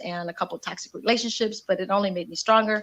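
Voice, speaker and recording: Talking at a very fast pace, a woman speaks with a Spanish accent. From Indiana, US Midwest. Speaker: community activist and radio host. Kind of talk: interview. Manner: energetic.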